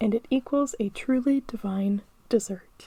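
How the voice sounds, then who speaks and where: Soft-spoken, a woman talks at a very slow pace with a fairly high pitch. Her tone is dark and mellow, with ordinary pitch variation. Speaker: podcast host. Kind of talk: ASMR podcast.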